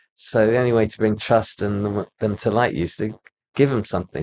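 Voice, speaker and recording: Someone with a British accent speaks at a fairly quick pace with fairly even intonation against a quiet background. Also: man. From UK. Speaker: architect. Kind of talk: casual interview chat. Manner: halting.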